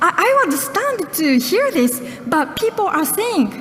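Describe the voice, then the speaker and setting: A woman with a Japanese accent talks at a fairly slow pace over noticeable background noise. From Japan, Okinawa. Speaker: journalist. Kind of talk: speech. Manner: halting.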